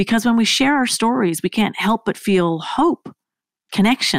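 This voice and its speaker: The sound is dry and close, with no echo. A woman talks at a moderate pace with ordinary pitch variation. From Canada. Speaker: podcast host. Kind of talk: podcast intro and interview.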